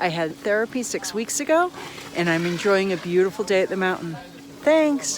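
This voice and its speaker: Amid noticeable background noise, a woman at medium pitch speaks at a moderate pace with very wide pitch swings. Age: 60s. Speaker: patient giving testimonial. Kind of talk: patient testimonial to camera.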